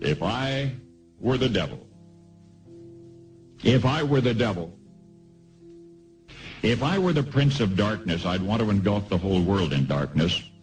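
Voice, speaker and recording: A man talks at a moderate pace with long, frequent pauses and very wide pitch swings. His loudness stays very even, with music in the background. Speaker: radio broadcaster. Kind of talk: radio commentary broadcast.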